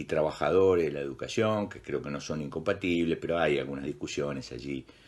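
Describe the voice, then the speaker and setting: A man talks with vocal fry. The background is quiet. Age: 60s. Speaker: teacher. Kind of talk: interview. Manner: halting.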